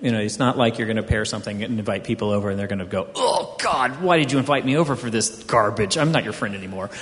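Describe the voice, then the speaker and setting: A man with an American accent talks very fast with ordinary pitch variation over noticeable background noise. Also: medium pitch for a man, hardly any pauses. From US South, Houston, Texas. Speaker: wine magazine editor. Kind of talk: panel discussion.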